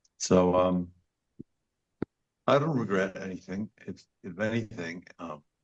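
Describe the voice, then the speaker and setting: A man speaks with a very deep, low pitch and ordinary pitch variation at a moderate pace. The sound is dry and close, with no echo. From Mexico. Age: 60s. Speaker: actor. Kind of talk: casual chat. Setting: video call.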